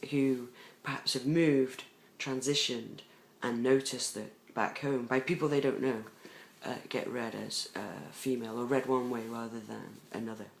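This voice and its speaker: With an English accent, the speaker talks at a moderate pace with fairly even intonation. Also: man, medium pitch for a man. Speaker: vlogger. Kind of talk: personal video diary. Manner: hesitant, many fillers.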